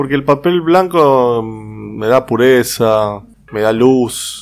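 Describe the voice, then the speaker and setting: With a Rioplatense accent, a man speaks using lively intonation. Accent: Argentine Spanish (rioplatense). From Argentina, Rosario. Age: 40s. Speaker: paper artist and graphic designer. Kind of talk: interview. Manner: hesitant, many fillers.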